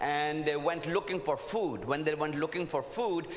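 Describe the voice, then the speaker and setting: Over noticeable background noise and audible room echo, the speaker keeps a moderate pace with ordinary pitch variation. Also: man. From India. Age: old. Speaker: preacher. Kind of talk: sermon.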